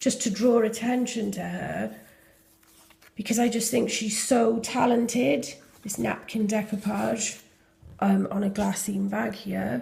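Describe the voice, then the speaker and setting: Speaking with a Welsh accent, a woman talks at a fairly slow pace. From Wales. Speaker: junk journal maker. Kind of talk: casual journal flip-through talk to camera.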